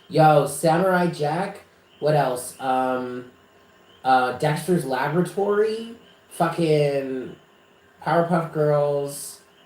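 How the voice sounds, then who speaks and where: A man speaks at a very slow pace with a fairly high pitch and ordinary pitch variation. Audible room echo surrounds his voice. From New York, Westchester. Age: 30s. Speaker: psychic reader. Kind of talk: casual chat. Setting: live stream. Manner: animated.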